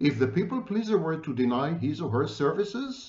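Vocal fry runs through a man's voice at a moderate pace, with audible room echo around him. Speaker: commentator on psychology. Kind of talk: lecture. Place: home room. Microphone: webcam.

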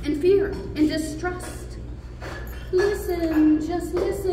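Noticeable background noise surrounds a woman's voice. She talks very slowly, with long, frequent pauses. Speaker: poet. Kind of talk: poetry reading, spoken word. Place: hall. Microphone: camera far.

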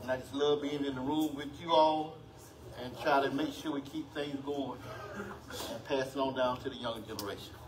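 Over noticeable background noise, a man speaks at a moderate pace with a fairly high pitch and fairly even intonation. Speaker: community videographer. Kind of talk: casual remarks. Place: meeting room.

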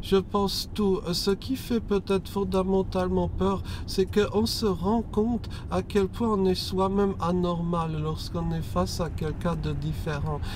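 Noticeable background noise sits under this man's fairly slow delivery, though the sound itself is dry with no echo. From France. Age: 30s. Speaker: guest. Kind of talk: casual chat. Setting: in a car. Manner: unusual, atypical speech delivery. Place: car. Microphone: lapel.

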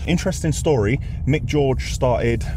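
Noticeable background noise surrounds a man's voice, though the sound itself is dry with no echo. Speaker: business owner vlogger. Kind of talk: casual vlog chat. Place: car. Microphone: lapel.

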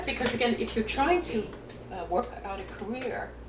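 A woman is speaking. Noticeable background noise runs underneath. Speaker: attorney and trade-controls consultant. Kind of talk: oral history interview answer. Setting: indoors at a filmed interview session. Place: home room. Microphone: webcam.

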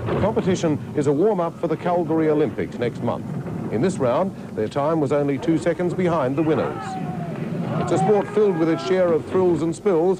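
Over noticeable background noise, a man with a fairly high pitch speaks at a fairly quick pace, his loudness very even. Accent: Australian. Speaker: TV news presenter.

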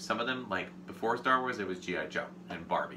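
Noticeable background noise sits behind the recording. A man speaks fairly quickly, his pitch varying in an ordinary way. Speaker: toy collector host. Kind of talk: casual unboxing show talk. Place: home room.

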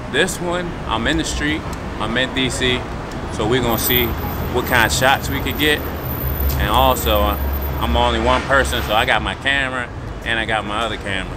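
Loud background noise accompanies a man talking at a moderate pace. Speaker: photographer vlogger. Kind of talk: casual vlog chat. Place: street. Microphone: phone near.

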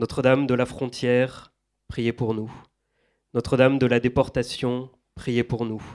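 Pausing long and often, a man speaks fairly slowly at a medium pitch in a flat monotone, in a very clean recording with a silent background. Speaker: event moderator. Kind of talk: moderated book talk. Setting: stage with audience. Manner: halting.

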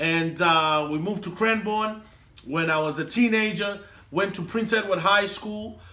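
In a raised, projected voice, a man speaks at a moderate pace with a high pitch, ordinary pitch variation and a bright, sharp tone. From Zimbabwe, Harare (Mbare); Zimbabwe. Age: 30s. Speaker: comedian. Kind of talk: casual interview. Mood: upbeat, cheerful.

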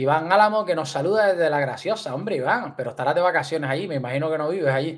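A man's fairly high, animated voice at a very fast pace, with ordinary pitch variation, hardly any pauses and a quiet background. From Canary Islands. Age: 30s. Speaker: fishing youtuber. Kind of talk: livestream chat. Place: home room. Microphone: studio mic.

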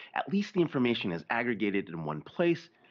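The background stays quiet. Over it, a man talks at a fairly quick clip. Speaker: industry analyst, remote guest. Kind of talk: interview answer. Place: home room. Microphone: earbuds.

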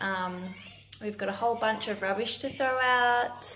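A woman speaks at a fairly slow pace over light background noise. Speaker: parent vlogger. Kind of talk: casual vlog chat. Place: home room. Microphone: phone near.

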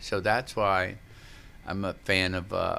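Over light background noise, a man speaks with a bright, sharp tone and a fairly low pitch. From New Orleans, US South. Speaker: sound healer and poet. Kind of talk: guided meditation. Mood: relaxed, enthusiastic. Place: studio. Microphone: studio mic.

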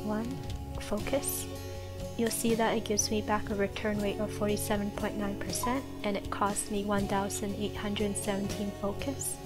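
Soft-spoken and relaxed in tone, a woman talks at a moderate pace. Music plays in the background. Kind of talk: soft-spoken gameplay tutorial narration. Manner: soft-spoken, relaxed.

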